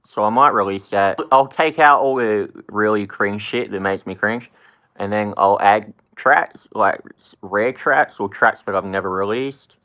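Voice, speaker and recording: A man's fairly low, bright and sharp voice with an American accent, animated in tone, with ordinary pitch variation, big swings in loudness, a moderate pace and a quiet background. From Australia. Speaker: rapper. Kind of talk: casual vlog talk. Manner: casual, swearing-filled and animated.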